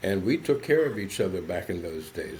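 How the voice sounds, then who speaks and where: This voice has an American accent and is somewhat breathy. It moves at a fairly quick pace. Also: man. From US South, southern West Virginia. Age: 70s. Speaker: psychologist. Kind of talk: podcast interview.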